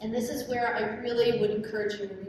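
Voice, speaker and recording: There is noticeable background noise. The room adds an audible echo. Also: woman. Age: 60s. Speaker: professional organizer. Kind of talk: conference presentation.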